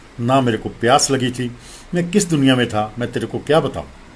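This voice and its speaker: Here a man speaks at medium pitch. His voice is somewhat breathy. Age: 60s. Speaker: devotee sharing memories of a spiritual guru. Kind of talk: testimony / satsang storytelling.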